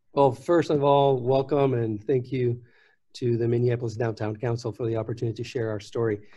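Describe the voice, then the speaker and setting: A somewhat breathy, dark, mellow tone at a fairly quick pace, with fairly even intonation. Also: man, medium pitch for a man. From Puerto Rico. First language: Spanish. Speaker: nonprofit executive. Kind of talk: panel discussion.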